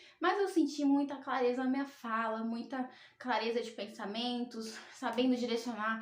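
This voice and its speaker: A woman's high voice at a moderate pace, with ordinary pitch variation and noticeable background noise. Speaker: tarot reader and spiritual youtuber. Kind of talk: personal testimony vlog.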